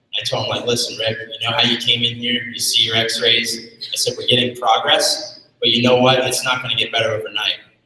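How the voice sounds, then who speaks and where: Fairly quick speech with audible room echo. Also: man. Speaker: chiropractor. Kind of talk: seminar talk. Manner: fast.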